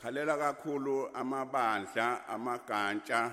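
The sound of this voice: His tone is bright and sharp. The man speaks at a fairly slow pace with fairly even intonation.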